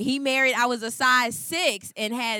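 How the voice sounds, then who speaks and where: Raising and projecting her voice, a woman speaks at a high pitch in a bright, sharp tone. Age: 40s. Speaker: pastor's wife. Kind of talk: sermon.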